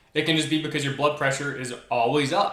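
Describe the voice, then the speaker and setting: A man's pitch varies in an ordinary way. Room echo is audible. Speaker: video creator. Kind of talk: personal vlog monologue. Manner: fast; excitable.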